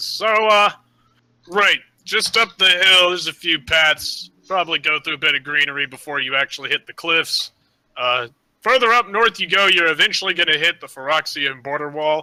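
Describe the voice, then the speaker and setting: A man does a put-on character voice, high and raspy, with ordinary pitch variation. He speaks at a moderate pace, and the sound is dry and close with no echo. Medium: actual play. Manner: rambling, hesitant.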